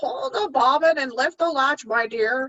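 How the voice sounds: A woman's put-on character voice, high in pitch and fairly slow in pace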